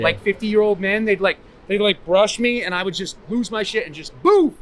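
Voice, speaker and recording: Over noticeable background noise, a man with a Boston accent talks at a fairly quick pace in a high pitch with ordinary pitch variation. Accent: Boston-area New England. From Massachusetts. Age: 40s. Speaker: homeless man. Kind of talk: street interview answer. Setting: outdoors. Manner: enthusiastic, passionate.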